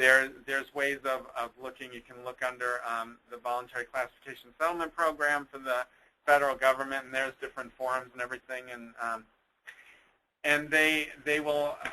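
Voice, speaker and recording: A man speaks at a medium pitch with monotone, flat intonation. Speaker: nonprofit administrator presenting on employment law. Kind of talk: webinar presentation. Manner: fast; halting, many fillers.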